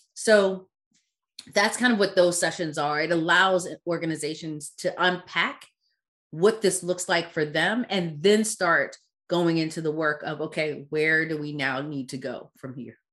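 A woman with an unremarkable speaking voice talks at a fairly slow pace with a fairly low pitch, ordinary pitch variation and big swings in loudness, over a quiet background. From Caribbean-born, raised in US. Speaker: DEI consultant and founder. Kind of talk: casual interview conversation.

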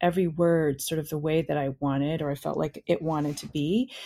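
A woman with a normal speaking voice and an American accent talks at a moderate pace in a fairly low pitch. The recording is very clean, with a silent background. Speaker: poet and writer. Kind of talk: casual interview chat.

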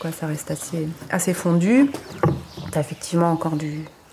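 Noticeable background noise sits behind a woman's fairly low voice. She speaks at a moderate pace, with ordinary pitch variation. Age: 40s. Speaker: winemaker. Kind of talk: casual interview.

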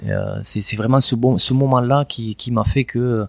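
His voice stays monotone and flat. This man's pitch is medium. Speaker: former legionnaire and polar adventurer. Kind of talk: interview. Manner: halting.

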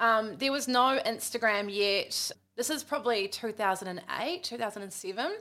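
A woman with a New Zealand accent speaks very slowly in a fairly high, bright and sharp voice, her intonation lively. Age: 30s. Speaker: podcast host, former radio presenter. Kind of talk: casual chat.

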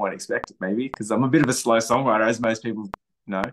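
Talking at a very fast pace, a man with an Australian accent has a medium pitch. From Australia, south coast of New South Wales. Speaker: country musician. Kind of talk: casual interview.

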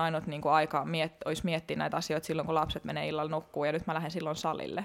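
A woman speaks very fast, her pitch very deep and low, with vocal fry. Her intonation is flat and monotone. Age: 30s. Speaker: fitness competitor. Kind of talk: casual interview chat.

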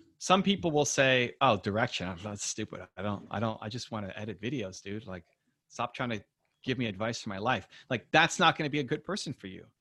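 A man with a medium-pitched, plain, everyday voice talks at a fairly quick pace with lively intonation and big swings in loudness, on a very clean recording with a silent background. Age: 40s. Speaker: entrepreneur and author. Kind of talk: interview.

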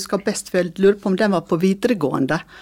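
The pitch varies in an ordinary way in this ordinary speaking voice. Words come at a fairly quick pace. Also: woman. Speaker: former school district director. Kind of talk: interview.

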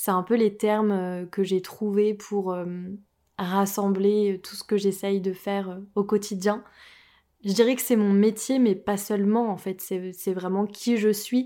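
In a very clean recording with a silent background, a woman speaks very slowly at medium pitch, her tone dark and mellow and her intonation monotone and flat. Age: 20s. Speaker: medium and spiritual podcaster. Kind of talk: solo podcast monologue. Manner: hesitant, many fillers.

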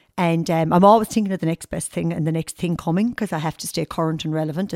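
A woman with an Irish accent speaks very fast in a fairly low voice. The recording is very clean with a silent background and a dry, close sound with no echo. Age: 50s. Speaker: model agency owner and fashion stylist. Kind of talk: casual interview. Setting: at her home.

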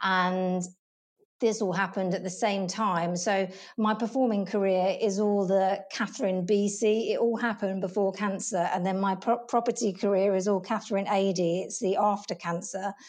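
With a southern English accent, a woman of medium pitch speaks in a flat monotone at a moderate pace, recorded very cleanly over a silent background. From southern England. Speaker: property operations coordinator. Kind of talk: interview.

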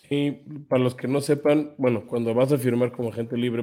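On a very clean recording with a silent background, a man with a dark, mellow tone speaks at medium pitch and a fairly quick pace, his intonation monotone and flat. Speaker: sports podcast co-host. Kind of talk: casual chat.

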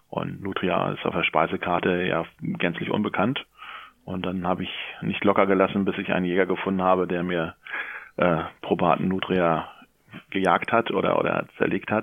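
A man with a very deep, low pitch speaks at a moderate pace. His intonation is monotone and flat, broken by long, frequent pauses. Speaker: local newspaper journalist. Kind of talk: interview. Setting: phone call.

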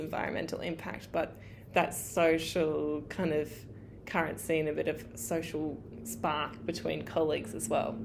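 Vocal fry in a woman's very deep, low pitch, at a moderate pace with ordinary pitch variation. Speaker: eco-business owner, listener. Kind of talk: listener story, recorded message.

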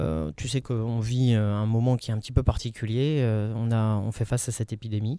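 In a dark, mellow tone, a man delivers his words at a fairly slow pace. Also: very clean recording, silent background. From Paris. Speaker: podcast host. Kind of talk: interview.

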